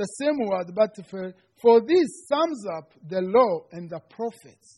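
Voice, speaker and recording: A man with a Rwandan accent speaks at a very slow pace in a high, dark, mellow tone. His intonation is lively, and the background is quiet. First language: Kinyarwanda. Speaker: seminary student giving a sermon. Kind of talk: sermon. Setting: church. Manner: halting, non-native English.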